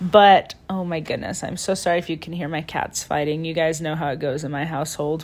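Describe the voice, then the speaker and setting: Her intonation fairly even, a woman with a fairly low pitch talks at a fairly quick pace with hardly any pauses. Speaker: podcast host. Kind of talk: casual solo monologue. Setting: lying in bed at home. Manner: rambling, unscripted.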